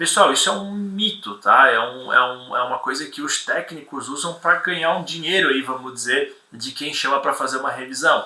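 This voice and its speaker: A man speaks at a moderate pace in a fairly high pitch. His intonation is lively. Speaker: property inspection instructor. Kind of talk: live webinar lecture with Q&A. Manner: halting, many repetitions.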